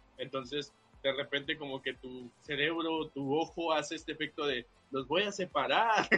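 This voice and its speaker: A man speaks at a moderate pace with ordinary pitch variation and a fairly high pitch. Music plays in the background. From Veracruz port, Mexico. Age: young. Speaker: podcast guest. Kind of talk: casual chat.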